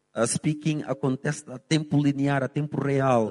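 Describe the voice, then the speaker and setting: Dry and close with no echo, this man's voice is fairly high for a man, with a dark, mellow tone. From Angola, Lobito (Benguela). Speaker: English teacher. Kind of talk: casual interview.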